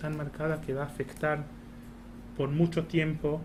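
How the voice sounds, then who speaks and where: A man with an Argentine accent. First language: Hebrew (speaking Spanish). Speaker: embassy spokesperson. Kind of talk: talk at a colloquium. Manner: halting, many fillers.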